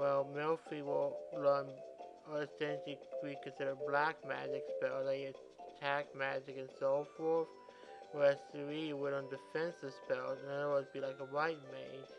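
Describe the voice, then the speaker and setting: Speech at a moderate pace over music in the background. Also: man. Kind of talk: casual gameplay commentary. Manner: halting, with pauses and mix-ups.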